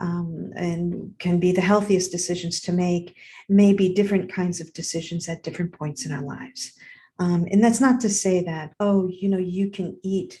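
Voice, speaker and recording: At a moderate pace, a somewhat breathy voice with a dark, mellow tone moves along in fairly even intonation. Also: woman. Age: 60s. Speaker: podcast host. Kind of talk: casual monologue. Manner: halting.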